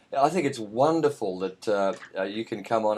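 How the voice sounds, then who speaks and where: With an Australian accent, a man speaks at a medium pitch and a moderate pace against a quiet background. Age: 50s. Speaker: radio host. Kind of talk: radio interview. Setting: radio studio, Skype call.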